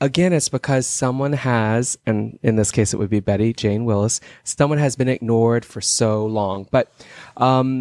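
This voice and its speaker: His pace is moderate and his pitch varies in an ordinary way. The man uses a plain, everyday voice. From Texas. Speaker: podcast guest, case advocate. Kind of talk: casual chat.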